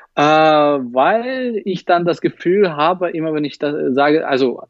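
This is a man speaking with a Russian accent. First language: Russian (speaking German). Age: 30s. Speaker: magician and YouTuber. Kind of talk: casual interview. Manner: hesitant, many fillers.

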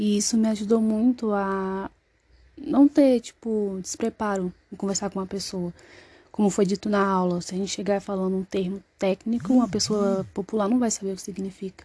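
The sound is dry and close with no echo, and the background is quiet. A woman speaks at a moderate pace with medium pitch and a dark, mellow tone. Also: ordinary pitch variation. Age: 20s. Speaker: student. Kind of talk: self-introduction in class. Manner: halting.

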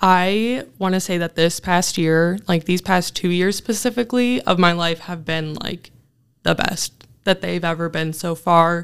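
A woman has an ordinary speaking voice with a fairly low pitch. She talks at a fairly slow pace with ordinary pitch variation. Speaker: graduate student. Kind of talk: interview.

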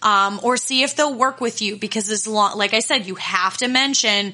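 There is noticeable background noise as a woman speaks at a fairly high pitch with fairly even intonation. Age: 30s. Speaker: podcast host and confidence coach. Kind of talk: solo podcast monologue. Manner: casual, with frequent fillers.

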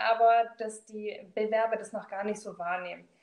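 A woman's fairly high-pitched, a normal speaking voice. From Swabia, southern Germany. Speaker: corporate trainer and recruiter. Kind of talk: casual interview.

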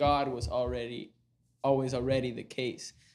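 Fairly slow, fairly even speech from a man at medium pitch, with a Panamanian accent. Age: 20s. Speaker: medical student. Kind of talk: casual chat.

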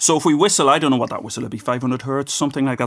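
With an Irish accent, a man speaks in fairly even intonation. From Ireland. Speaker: physics professor and author. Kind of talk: casual interview.

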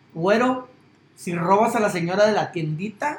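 A man with a Mexican accent speaks at a high pitch. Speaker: sports podcast host. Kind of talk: casual chat.

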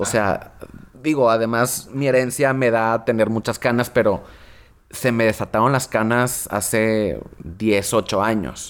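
This man has an ordinary speaking voice at a medium pitch. He talks at a fairly slow pace with very even loudness. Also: fairly even intonation. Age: 30s. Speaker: magazine director. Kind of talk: casual chat. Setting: studio.

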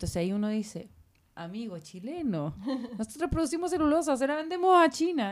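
A woman with a high pitch talks at a fairly quick pace, her pitch swinging very widely. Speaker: publisher. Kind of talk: casual chat.

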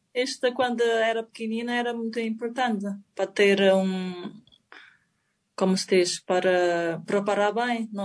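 Her voice is fairly high with fairly even intonation. The woman leaves long, frequent pauses. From China. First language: Chinese (speaking Portuguese). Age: 40s. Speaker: table tennis player. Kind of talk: interview. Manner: halting.

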